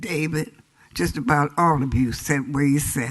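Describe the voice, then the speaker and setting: A woman with an American accent speaks with ordinary pitch variation. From San Diego, California. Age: 80s+. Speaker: community elder and public commenter. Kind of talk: public comment speech. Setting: city council chamber.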